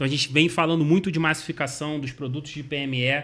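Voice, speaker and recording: Speaking very fast in a Rio de Janeiro accent, a man has a bright, sharp tone and ordinary pitch variation on a very clean recording with a silent background. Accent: carioca. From Rio de Janeiro, Brazil. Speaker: insurance company sales executive. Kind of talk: interview answers.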